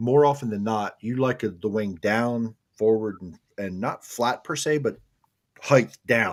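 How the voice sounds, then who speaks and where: A man with a normal speaking voice, medium pitch and ordinary pitch variation, at a fairly slow pace, on a very clean recording with a silent background. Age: 40s. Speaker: podcast co-host and racing photographer. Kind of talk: casual chat.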